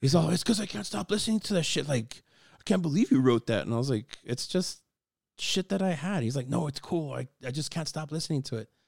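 A somewhat breathy man with a fairly high pitch talks at a very fast pace, with lively intonation and big swings in loudness. The sound is dry and close with no echo, on a very clean recording with a silent background. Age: 40s. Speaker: musician and sound engineer. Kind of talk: casual chat.

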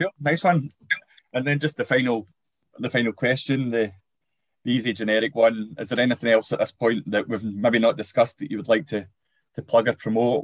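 A man with a Scottish accent talks at a fairly quick pace but with long, frequent pauses. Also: dry, close sound with no echo. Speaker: podcast host. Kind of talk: casual interview.

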